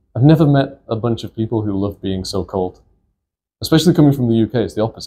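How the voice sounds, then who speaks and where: On a very clean recording with a silent background, a man with a medium-pitched, dark, mellow and somewhat breathy voice talks very fast with lively intonation. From northern England, St Helens near Liverpool. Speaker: comedian. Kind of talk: casual interview chat.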